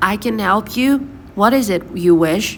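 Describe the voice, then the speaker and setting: Over clear background noise, a female-sounding voice does a gruff, put-on character voice at a medium pitch for a woman and a moderate pace. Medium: read story. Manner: formal, gruff.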